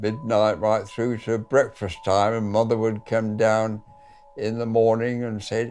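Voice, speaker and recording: A man with a fairly low pitch talks while music plays behind him. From Manchester, England. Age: 80s+. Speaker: war veteran. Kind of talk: interview answer.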